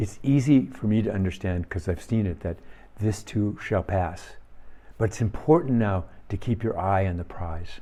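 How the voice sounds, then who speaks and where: On a very clean recording with a silent background, a man with an American accent speaks at a moderate pace in a somewhat breathy, fairly low voice with a dark, mellow tone and ordinary pitch variation. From US Midwest, Minnesota. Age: 70s. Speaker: firefighter and soccer coach giving reflections. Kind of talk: reflective talk.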